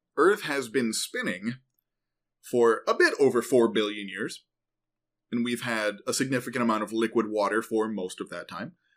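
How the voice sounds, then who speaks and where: A man with a normal speaking voice talks at a moderate pace, his pitch medium with ordinary variation. The recording is very clean, with a silent background. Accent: American. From Central New York. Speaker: podcast host, geoscience explainer. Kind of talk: casual educational chat.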